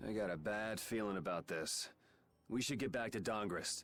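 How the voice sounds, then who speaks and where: A raspy put-on character voice at a moderate pace, with ordinary pitch variation and very even loudness. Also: man, fairly low pitch for a man. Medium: video game. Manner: casual, cocky.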